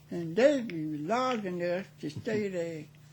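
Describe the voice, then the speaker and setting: A woman with an American accent speaks very slowly in a somewhat breathy voice with ordinary pitch variation. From South Carolina. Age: 80s+. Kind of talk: interview answer.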